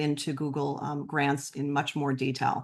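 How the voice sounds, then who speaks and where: A woman speaks at a very deep, low pitch. The background is quiet. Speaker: nonprofit presenter. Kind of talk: webinar presentation. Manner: fast; many filler ums.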